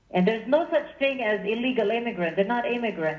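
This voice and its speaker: A woman speaks with an American accent. There is audible room echo and noticeable background noise. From Israel. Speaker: political meetup group organizer. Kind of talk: radio interview. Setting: phone call. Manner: animated.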